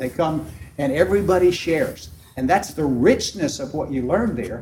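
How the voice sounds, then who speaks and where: There is noticeable background noise as a man speaks. His fairly high voice has lively intonation. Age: 70s. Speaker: small group leader. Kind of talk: conference workshop talk. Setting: conference room with audience.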